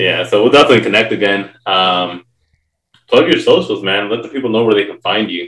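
A man's pace is fairly quick. He uses a plain, everyday voice pitched at a medium level. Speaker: podcast host. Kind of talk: casual interview chat.

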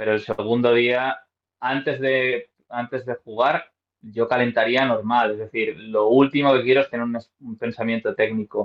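A man at a medium pitch and fairly slow pace, with monotone, flat intonation. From Spain, Madrid. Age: 30s. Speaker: professional golfer and golf coach. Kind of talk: interview.

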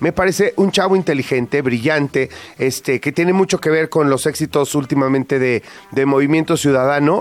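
With music in the background, a man speaks at a fairly high pitch with ordinary pitch variation, the sound dry and close with no echo. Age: 50s. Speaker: radio host. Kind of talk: casual chat. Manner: animated.

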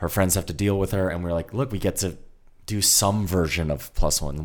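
Very fast and with a very deep, low pitch, a man speaks in an American accent on a very clean recording with a silent background. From New Jersey. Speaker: filmmaker. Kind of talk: casual chat.

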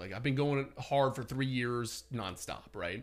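Here is a man with an ordinary speaking voice. He talks at a moderate pace in a medium pitch. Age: 30s. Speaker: real estate agent and personal development blogger. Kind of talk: casual chat.

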